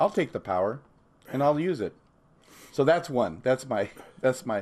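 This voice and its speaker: A man's medium-pitched voice with an American accent, at a moderate pace, with very wide pitch swings. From Southern California. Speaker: priest. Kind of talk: casual chat. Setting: in a home.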